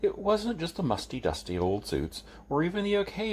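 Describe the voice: Plain reading aloud. Nothing more to the delivery.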